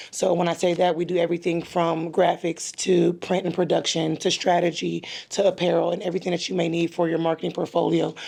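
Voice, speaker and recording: A very fast pace with hardly any pauses and monotone, flat intonation. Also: woman, fairly low pitch for a woman. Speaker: business owner. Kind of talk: roundtable discussion. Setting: roundtable in a hotel.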